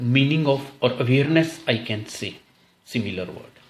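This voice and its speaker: Audible room echo surrounds a man's fairly high-pitched voice. He sounds somewhat breathy. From India. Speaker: English test coach. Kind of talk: tutorial. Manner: slow.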